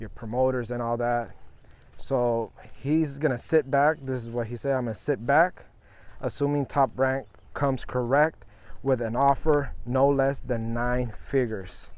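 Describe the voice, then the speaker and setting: Words come from a man at a fairly slow pace. His voice holds a medium pitch. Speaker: sports podcast host. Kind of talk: solo sports commentary podcast.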